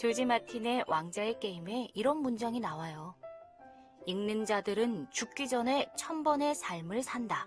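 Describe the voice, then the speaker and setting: With music in the background, a woman speaks fairly slowly at a fairly high pitch, her pitch swinging very widely. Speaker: voice actor. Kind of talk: audiobook reading.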